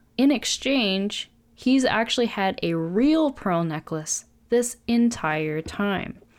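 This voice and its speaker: At a very slow pace, a woman speaks in a fairly high-pitched voice that makes very wide pitch swings. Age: 20s. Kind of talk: casual faith discussion.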